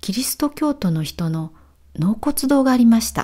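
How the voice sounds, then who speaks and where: Her dark, mellow voice somewhat breathy, a woman swings her pitch very widely. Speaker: Japanese language teacher. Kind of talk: walking vlog narration for learners. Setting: outdoors. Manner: clear, slow-paced for learners.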